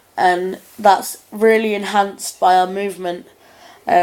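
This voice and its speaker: A woman speaks at a medium pitch in a monotone, flat intonation. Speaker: performing arts student. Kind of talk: video diary reflection. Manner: halting.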